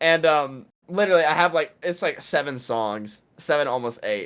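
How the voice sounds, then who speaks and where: A man with an American accent, animated in tone, with lively intonation at a moderate pace. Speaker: musician. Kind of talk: interview. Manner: calm talking voice.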